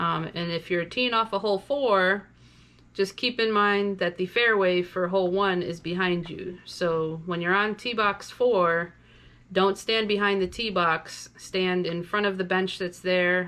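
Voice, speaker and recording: Against a quiet background, a woman speaks loudly at a fairly slow pace, her medium-pitched voice bright and sharp with fairly even intonation. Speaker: tournament director. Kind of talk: player's meeting briefing. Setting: virtual player's meeting video.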